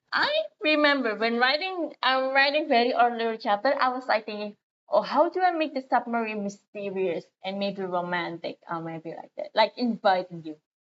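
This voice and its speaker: A woman with a non-native accent speaks at a moderate pace in a fairly high voice, her pitch swinging very widely and her loudness rising and falling sharply. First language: not English. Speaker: streamer. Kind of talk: casual livestream chat. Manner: halting.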